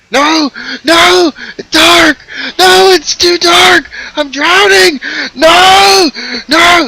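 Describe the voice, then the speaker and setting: A high-pitched, put-on character voice at a very slow pace, broken by long, frequent pauses. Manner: panicked, screaming.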